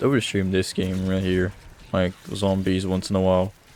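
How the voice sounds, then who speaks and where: Here a man speaks with a strong French Canadian accent. His pitch is very deep and low. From Quebec. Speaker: gaming streamer. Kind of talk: casual chat. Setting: recording while playing a game. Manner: casual, distracted with hesitations.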